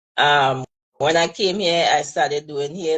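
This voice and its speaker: Speaking very slowly with a Trinidadian accent, a woman uses a fairly low pitch and fairly even intonation. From Trinidad and Tobago. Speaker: hairstylist. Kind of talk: live interview.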